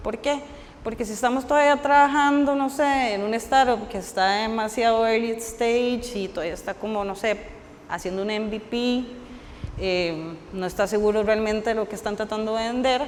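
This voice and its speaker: Moderate tempo and ordinary pitch variation in a plain, everyday voice. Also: woman, fairly high pitch for a woman. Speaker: software engineer giving a conference talk. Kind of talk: technical talk at a meetup.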